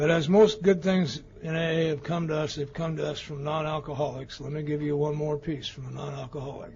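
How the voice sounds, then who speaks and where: Over noticeable background noise, a man with an American accent talks at a fairly quick pace with hardly any pauses, his fairly high voice in fairly even intonation. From Colorado, Denver. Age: 70s. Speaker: recovery speaker. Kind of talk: testimony.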